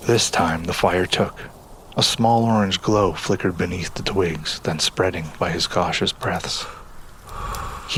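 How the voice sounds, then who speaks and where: A man speaks at a moderate pace with a very deep, low pitch and ordinary pitch variation. Noticeable background noise is present. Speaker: voice actor. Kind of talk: audio drama narration.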